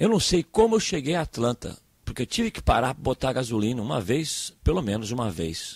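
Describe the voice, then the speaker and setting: In a dry, close recording with no echo, a man with vocal fry talks at a medium pitch and a fairly quick pace, with very wide pitch swings and big swings in loudness. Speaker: pastor. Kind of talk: sermon. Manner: halting, repeats words.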